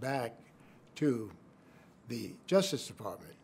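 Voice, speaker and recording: A man with an American accent speaks at a medium pitch with lively intonation. His voice is somewhat breathy. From New York City. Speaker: former government official and lawyer. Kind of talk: interview answer.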